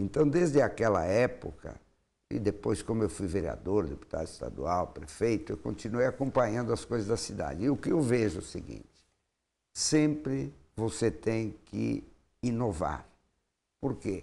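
With long, frequent pauses and a moderate pace, a man talks at a fairly low pitch with very wide pitch swings and vocal fry. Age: 70s. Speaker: mayoral candidate, politician; candidate, politician. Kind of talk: interview. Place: studio. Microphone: lapel.

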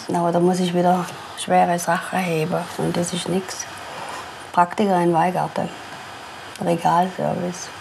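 Her fairly low voice stays monotone and flat as this woman speaks with long, frequent pauses over noticeable background noise. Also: moderate pace. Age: 60s. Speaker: pensioner, former electrical industry worker. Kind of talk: documentary interview answer. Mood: resigned, wistful. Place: home room. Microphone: lapel.

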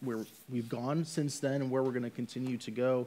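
A man's voice with fairly even intonation. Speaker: church ministry staff; church staff member on panel. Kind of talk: casual chat. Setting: church. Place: stage.

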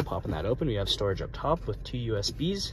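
The sound is dry with no echo, with loud background noise and a fairly quick pace. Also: man. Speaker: presenter. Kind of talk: product walkthrough commentary. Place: car. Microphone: phone near.

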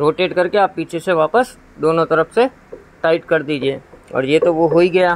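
With normal pitch variation, a man talks at a medium speed. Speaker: key shop owner demonstrating machine. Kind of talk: tutorial. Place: shop. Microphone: phone near.

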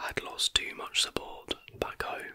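A soft-spoken man is whispering. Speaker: history content creator. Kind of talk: casual narration of trivia. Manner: soft close-mic ASMR whisper. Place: home room. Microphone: studio mic.

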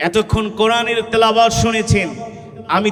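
A man talks in an energetic tone amid noticeable background noise. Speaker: Islamic preacher and Quran reciter. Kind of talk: Islamic sermon (waz) delivered to a live crowd with call-and-response. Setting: outdoor public gathering, addressing a large crowd. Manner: loud, energetic, rhetorical, urging the crowd to respond.

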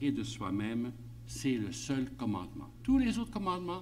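There is light background noise as a man speaks at a very slow pace. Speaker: priest giving a conference talk. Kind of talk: lecture. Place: meeting room. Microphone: podium.

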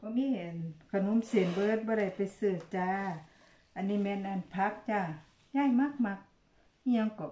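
A woman speaks in a somewhat breathy voice with ordinary pitch variation, and room echo is audible. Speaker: food vlogger. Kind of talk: casual eating vlog chat. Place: home room. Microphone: phone near.

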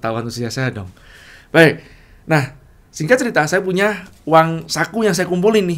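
A man's high-pitched voice at a moderate pace, with very wide pitch swings and long, frequent pauses. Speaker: entrepreneur and business coach; business coach. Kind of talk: casual storytelling monologue. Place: home room.

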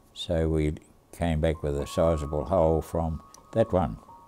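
A man's very deep, low voice with an Australian accent, dark and mellow in tone, at a very slow pace over light background noise. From Australia, Tasmania. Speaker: war veteran. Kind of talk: interview storytelling. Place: home room.

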